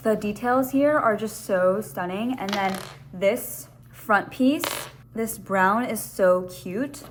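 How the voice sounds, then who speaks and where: Through noticeable background noise, a woman talks at a very slow pace with lively intonation. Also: medium pitch for a woman. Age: adult. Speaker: lifestyle vlogger. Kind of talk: casual vlog chat. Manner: animated.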